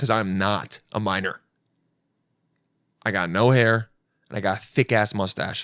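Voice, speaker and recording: Long, frequent pauses break up this man's speech. The recording is very clean and close, dry with no echo and a silent background. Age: 30s. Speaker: podcast host. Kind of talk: casual chat. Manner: animated.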